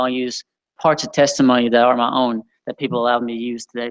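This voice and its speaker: A man mumbling at a very fast pace, medium pitch, with dry, close sound, no echo, and a quiet background. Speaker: youth leader. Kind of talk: sermon.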